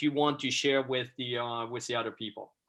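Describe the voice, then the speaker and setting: A man speaks with a Swiss French accent. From Switzerland, French-speaking. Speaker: photographer. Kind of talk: presentation to a class over video call. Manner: halting, many fillers.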